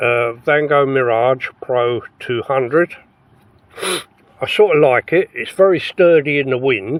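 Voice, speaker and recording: This man speaks with an English accent at a medium pitch, using ordinary pitch variation. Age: 70s. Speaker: camping vlogger. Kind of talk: casual vlog monologue. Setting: inside a tent. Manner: halting.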